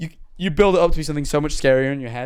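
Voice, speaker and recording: With a southern English accent, a man talks at a fairly high pitch. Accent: English (southern England). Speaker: streamer. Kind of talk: casual live stream chat. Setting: live stream. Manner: halting; rushed.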